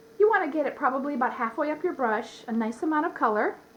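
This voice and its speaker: Very wide pitch swings mark a woman's speech at a very fast pace. Noticeable background noise is present. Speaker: face painter. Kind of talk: tutorial. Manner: hesitant, many fillers.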